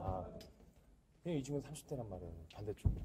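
Over noticeable background noise, a man with a fairly high voice talks at a fairly quick pace, his pitch swinging very widely. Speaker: badminton match commentator. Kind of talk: live sports commentary.

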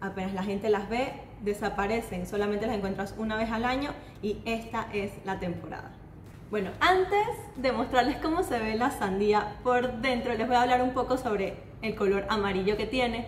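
The speech moves at a moderate pace with ordinary pitch variation. Audible room echo and light background noise are present. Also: woman. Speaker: food channel host. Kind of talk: casual food vlog presentation. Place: kitchen. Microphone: camera far.

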